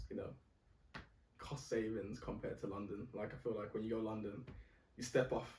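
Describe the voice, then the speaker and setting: In a room with audible echo, a man talks in a monotone, flat way, his tone dark and mellow and somewhat breathy. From Birmingham, England. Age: 20s. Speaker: civil engineer. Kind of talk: casual chat.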